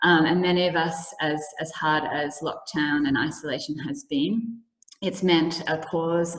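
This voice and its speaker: A woman with an Australian accent, fairly low in pitch, at a fairly slow pace. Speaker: event host. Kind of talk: online seminar introduction. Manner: hesitant, many fillers.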